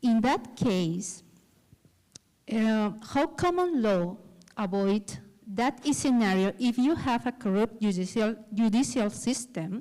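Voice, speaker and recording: On a very clean recording with a silent background, a woman speaks very slowly, with long, frequent pauses, at a fairly high pitch. Her tone is dark and mellow, her intonation lively, and her loudness very even. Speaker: audience member asking a question. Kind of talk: audience question. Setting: auditorium with audience. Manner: halting, non-fluent English. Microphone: held too far from mouth, hard to hear.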